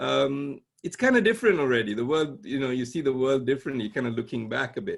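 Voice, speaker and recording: Lively intonation marks a man's very fast delivery. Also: medium pitch for a man. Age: 60s. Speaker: conceptual artist and professor. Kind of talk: casual interview conversation.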